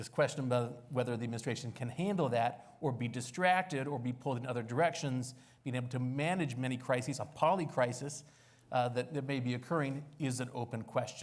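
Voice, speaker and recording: A man with an American accent and a somewhat breathy voice talks at a fairly quick pace. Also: medium pitch for a man, ordinary pitch variation. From United States. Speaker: think tank senior fellow, panelist. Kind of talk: panel discussion.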